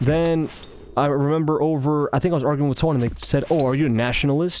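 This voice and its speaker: Talking at a very fast pace with a slight Russian accent, a man uses a fairly high pitch amid audible room echo. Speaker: gaming commentator. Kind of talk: casual monologue over gameplay. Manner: halting, self-correcting.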